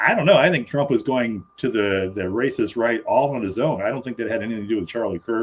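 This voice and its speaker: A man speaks at a medium pitch and a very fast pace with hardly any pauses, ordinary pitch variation, and noticeable background noise. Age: 60s. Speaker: political commentary panelist. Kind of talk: casual debate. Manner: halting, repeated starts.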